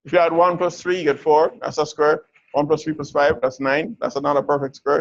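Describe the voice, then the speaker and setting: This man has an unremarkable speaking voice, fairly high in pitch, with fairly even intonation and a fairly quick pace. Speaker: university lecturer. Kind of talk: lecture.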